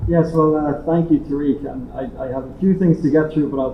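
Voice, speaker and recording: A man with an Irish accent at a fairly quick pace, fairly even intonation, audible room echo and noticeable background noise. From Ireland. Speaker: international organization director. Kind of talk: conference speech. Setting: hybrid roundtable, in-person audience and online call. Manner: repetitive false starts.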